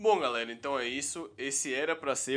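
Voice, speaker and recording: A man at a fairly quick pace. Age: 20s. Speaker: podcast host. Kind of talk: casual chat. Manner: animated.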